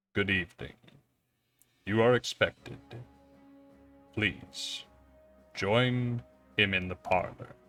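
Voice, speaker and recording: A man puts on a character voice at a fairly low pitch and fairly slow pace, with long, frequent pauses. Faint music plays in the background. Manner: slow, formal.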